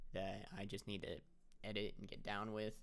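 A man speaks with monotone, flat intonation. His pitch is fairly low. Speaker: YouTube gaming creator. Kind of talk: casual update monologue to camera. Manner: casual, rambling, halting with fillers. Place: home room. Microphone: webcam.

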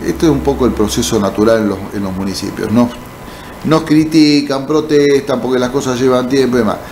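Light background noise sits behind a man speaking at a medium pitch. His pace is fairly quick, and his pitch variation is ordinary. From Argentina, Buenos Aires province. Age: 60s. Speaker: mayor and politician, physician; mayor, politician. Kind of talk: interview. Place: studio. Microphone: studio mic.

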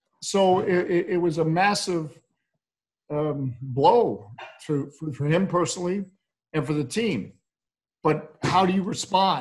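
A man's high-pitched voice with an American accent, fairly slow, with long, frequent pauses, ordinary pitch variation and a quiet background. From United States. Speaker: basketball play-by-play announcer. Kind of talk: interview answer. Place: home room. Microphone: video call.

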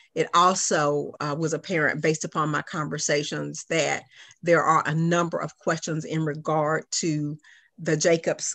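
At a moderate pace, a woman with a fairly low pitch talks in a monotone, flat way with vocal fry over a quiet background. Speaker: meeting facilitator. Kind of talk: meeting presentation. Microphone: video call.

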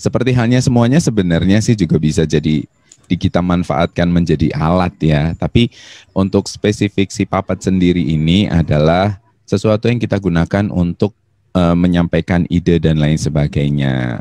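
The voice moves at a moderate pace with ordinary pitch variation, in a dry sound with no echo against a quiet background. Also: man, very deep, low pitch for a man. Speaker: talk show guest. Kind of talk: interview answer. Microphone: handheld.

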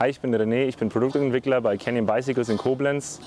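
Light background noise behind a man, the sound dry with no echo. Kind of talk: product presentation. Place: garden. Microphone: lapel.

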